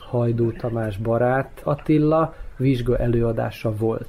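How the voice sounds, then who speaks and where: His voice is somewhat breathy and dark, mellow in tone. The man speaks at a middle pitch. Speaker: actor and former theatre director. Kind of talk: radio interview.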